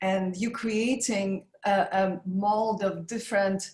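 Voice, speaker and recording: Speaking with a Polish accent, a woman talks at a very slow pace. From Poland (Warsaw). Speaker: makeup artist and business founder. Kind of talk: interview.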